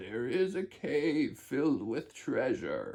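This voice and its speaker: A man puts on a character voice with a fairly high pitch. He speaks at a very slow pace. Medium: read story. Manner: scheming.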